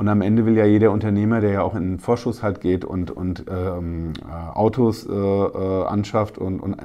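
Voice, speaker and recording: At a moderate pace, a man speaks in an unremarkable speaking voice, fairly low-pitched and with fairly even intonation. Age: 40s. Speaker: newspaper reporter. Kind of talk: casual interview.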